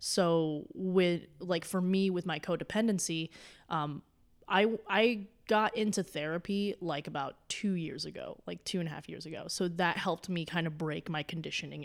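Her voice is fairly low for a woman, with ordinary pitch variation. She talks at a moderate pace on a very clean recording with a silent background. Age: 20s. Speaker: comedian. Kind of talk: casual chat. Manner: animated.

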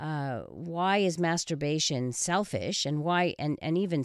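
A woman speaks at a fairly slow pace in a very deep, low voice, with ordinary pitch variation. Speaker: sex therapist radio host. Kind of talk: radio call-in advice show. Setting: studio. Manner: loud.

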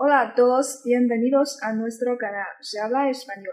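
A woman with a Chinese accent speaks at a fairly slow pace in a high voice. Her intonation is monotone and flat. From China, Qingdao. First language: Chinese (speaking Spanish). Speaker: student interviewer. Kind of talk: interview.

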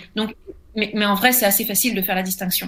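Recorded very cleanly against a silent background, a woman speaks with a fairly high pitch, a bright, sharp tone and ordinary pitch variation. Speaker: comic book writer and novelist. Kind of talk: interview.

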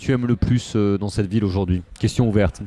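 His tone is dark and mellow. The man talks at a moderate pace with a medium pitch. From Paris, left bank. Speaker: podcast host and local politician. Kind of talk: interview. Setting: restaurant. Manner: halting, many hesitations.

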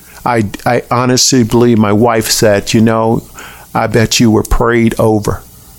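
With an American accent, a man talks at a fairly slow pace and medium pitch, his intonation monotone and flat and his loudness very even, against noticeable background noise. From US South, Tallahassee, Florida. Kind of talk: interview, testimony.

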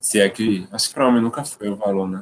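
A man with a normal speaking voice, at a fairly quick pace and fairly even intonation. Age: 20s. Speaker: visual artist. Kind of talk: casual chat.

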